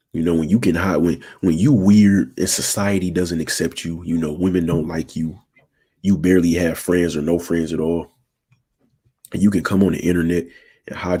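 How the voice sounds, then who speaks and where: A man with a very deep, low pitch, a dark, mellow tone, monotone, flat intonation and a moderate pace. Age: 20s. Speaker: relationship advice streamer. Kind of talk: live stream talk. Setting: live stream. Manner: casual.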